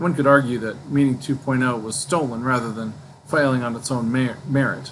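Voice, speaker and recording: A man speaks at a moderate pace with fairly even intonation. There is noticeable background noise. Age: old. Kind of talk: casual book discussion to camera.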